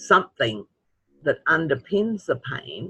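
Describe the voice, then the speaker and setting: Over music in the background, a man with an Australian accent speaks at a very slow pace. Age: 70s. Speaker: webinar participant with chronic pain. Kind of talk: webinar Q&A.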